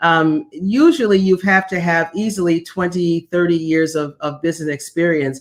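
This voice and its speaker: A woman speaks in a normal speaking voice at a fairly low pitch. Her pace is moderate, with fairly even intonation and hardly any pauses. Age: 60s. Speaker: former executive and executive coach. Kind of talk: interview. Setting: video call.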